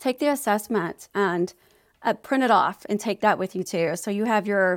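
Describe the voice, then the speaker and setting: Recorded very cleanly against a silent background, with a dry, close sound and no echo, a woman in an unremarkable speaking voice talks at a moderate pace and medium pitch with ordinary pitch variation. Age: 40s. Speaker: ADHD advocate and healthcare consultant. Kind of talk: casual interview.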